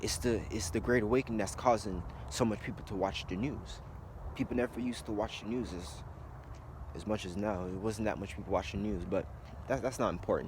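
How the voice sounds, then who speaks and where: A man with a fairly low, somewhat breathy voice talks at a fairly quick pace with ordinary pitch variation and long, frequent pauses. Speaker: conspiracy video blogger. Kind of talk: casual monologue vlog. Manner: fast.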